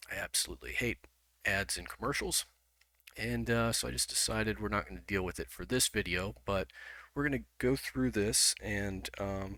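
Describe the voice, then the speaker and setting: A man's voice has a bright, sharp tone, a fairly low pitch and vocal fry. His pitch swings very widely at a moderate pace. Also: very clean recording, silent background. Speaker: video commentator. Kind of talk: video commentary. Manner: hesitant, many fillers.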